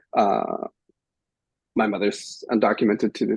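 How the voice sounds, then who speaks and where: Here a man speaks with a slight Spanish accent at a moderate pace and medium pitch. The sound is dry and close, with no echo. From Visalia, California. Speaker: panelist. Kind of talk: panel discussion. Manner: halting, many fillers.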